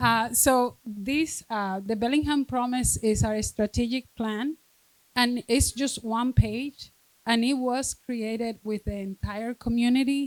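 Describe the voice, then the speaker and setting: In a dry, close sound with no echo, a woman with a fairly high pitch speaks slowly with fairly even intonation. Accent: strong Spanish. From Dominican Republic. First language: Spanish. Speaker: school district administrator. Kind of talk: reading aloud. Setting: stage with audience.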